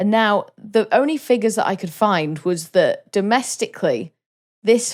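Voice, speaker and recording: In a Welsh accent, a woman speaks at a fairly slow pace with lively intonation. The recording is very clean and the background silent. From Wales. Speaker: podcast co-host. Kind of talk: casual chat.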